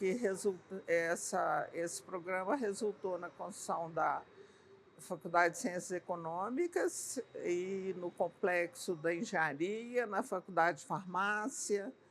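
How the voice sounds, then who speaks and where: Very slow female speech, medium-pitched for a woman, its pitch varying in an ordinary way. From Brazil, northern Minas Gerais (Pirapora). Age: 80s+. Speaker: retired architect. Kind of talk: interview. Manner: hesitant, many fillers.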